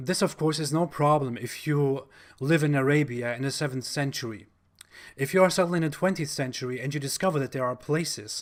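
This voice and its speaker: Speaking with a German accent and a fairly high pitch, a man comes through on a very clean recording with a silent background. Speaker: YouTuber, religion critic. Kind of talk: monologue commentary video.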